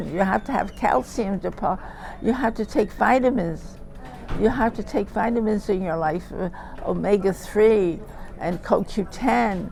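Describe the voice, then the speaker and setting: Music in the background under a woman's medium-pitched voice, fairly slow pace and lively intonation. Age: 80s+. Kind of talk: interview answer. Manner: hesitant, repetitive.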